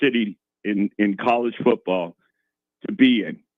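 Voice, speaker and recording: A man with a Boston accent speaks at a medium pitch with ordinary pitch variation. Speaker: retired sports broadcaster. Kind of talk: radio interview. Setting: radio studio. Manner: halting, many repeats.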